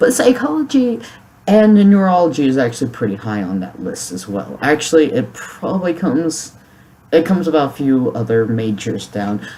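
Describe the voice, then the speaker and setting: Moderate pace over noticeable background noise. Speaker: YouTuber. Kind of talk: vlog monologue. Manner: halting.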